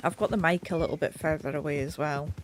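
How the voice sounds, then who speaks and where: A woman speaks with a British accent at a moderate pace. Noticeable background noise runs behind her. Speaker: game streamer. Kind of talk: casual gameplay commentary. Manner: uneven volume, sometimes mumbling; audible breathing. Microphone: mic further away, may be quiet.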